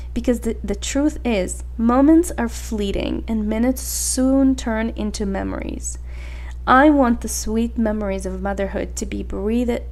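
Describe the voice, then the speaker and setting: The woman's delivery is fairly slow, and noticeable background noise can be heard behind her. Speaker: podcast host; mother. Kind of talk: podcast monologue. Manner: reflective, gentle.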